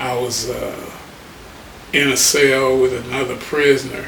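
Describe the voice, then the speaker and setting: Amid noticeable background noise and audible room echo, a man with an American accent speaks very slowly at a medium pitch, his intonation monotone and flat. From Detroit, Michigan. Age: 70s. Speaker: HIV advocate. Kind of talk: interview testimony.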